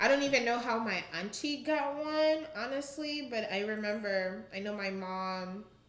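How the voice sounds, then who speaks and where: Amid noticeable background noise and audible room echo, a woman speaks at a moderate pace with hardly any pauses. Her pitch is fairly high and her intonation lively. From Uganda. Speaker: podcast guest. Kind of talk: casual chat.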